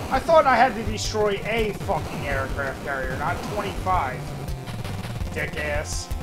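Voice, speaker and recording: Clear music plays in the background. A man talks at a fairly slow pace. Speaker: gaming streamer. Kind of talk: gameplay commentary. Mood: frustrated, swearing. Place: home room.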